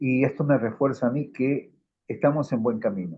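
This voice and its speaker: This man has an unremarkable speaking voice at a fairly high pitch. He talks at a moderate pace. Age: 60s. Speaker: audience member. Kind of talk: casual chat.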